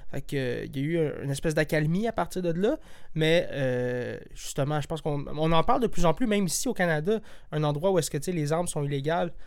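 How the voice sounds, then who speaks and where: Set against a silent background in a very clean recording, a man with a plain, everyday voice talks at a fairly high pitch and a fairly quick pace with ordinary pitch variation. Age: 20s. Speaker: podcast host. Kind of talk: casual chat.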